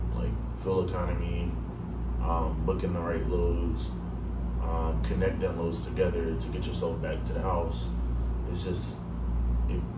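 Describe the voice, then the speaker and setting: A man at a moderate pace with ordinary pitch variation, amid loud background noise. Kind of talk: casual vlog chat. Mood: calm advice giving. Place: home room. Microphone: camera far.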